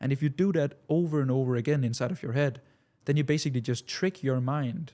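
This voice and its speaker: A man with a non-native accent speaks at a moderate pace in a dark, mellow tone, at medium pitch with ordinary pitch variation. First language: not English. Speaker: business coach. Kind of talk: casual talking-head monologue. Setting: studio. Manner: halting, many repetitions.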